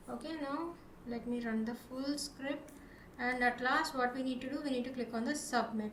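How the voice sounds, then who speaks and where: A woman talks at a moderate pace with a high pitch and fairly even intonation. Noticeable background noise and audible room echo come through. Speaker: programming tutorial presenter. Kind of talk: tutorial.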